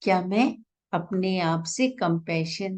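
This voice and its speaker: A woman's somewhat breathy, soothing tone at medium pitch, with ordinary pitch variation. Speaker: meditation guide. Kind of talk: guided meditation. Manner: slow, soothing.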